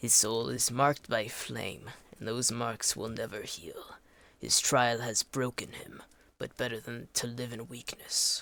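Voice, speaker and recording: A man puts on a raspy character voice at medium pitch, speaking at a fairly slow pace. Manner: grave, solemn.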